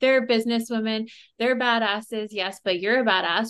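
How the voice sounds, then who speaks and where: This is a woman with an unremarkable speaking voice and a fairly high pitch. She keeps a moderate pace with fairly even intonation against a quiet background. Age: 40s. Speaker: boudoir photographer. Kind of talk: casual chat.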